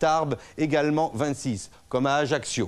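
A man at a very slow pace. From France. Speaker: weather presenter. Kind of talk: TV weather report. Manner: brisk, didactic; formal, polished. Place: studio.

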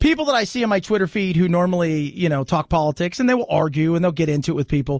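A man with a high voice speaks very fast with lively intonation and very even loudness, the sound dry with no echo and the background quiet. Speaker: radio talk show host. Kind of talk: political talk radio monologue; talk radio commentary. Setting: studio. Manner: animated, conversational. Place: studio.

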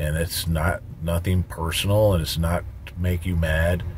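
Light background noise accompanies a man as he talks. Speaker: truck driver trainer. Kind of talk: tutorial. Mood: calm, advising. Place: car. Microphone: phone near.

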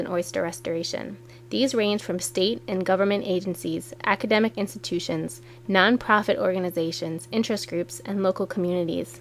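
At a fairly quick pace, a woman with medium pitch uses lively intonation in an ordinary speaking voice. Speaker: narrator. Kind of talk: scripted documentary narration. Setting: studio voiceover. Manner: clear, measured, formal.

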